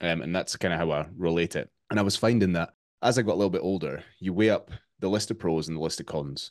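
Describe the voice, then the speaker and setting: A man with a Scottish accent speaks very fast in a very deep, low voice. His pitch varies in an ordinary way against a quiet background. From Scotland. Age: 30s. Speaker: fitness coach. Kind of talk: interview. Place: home room.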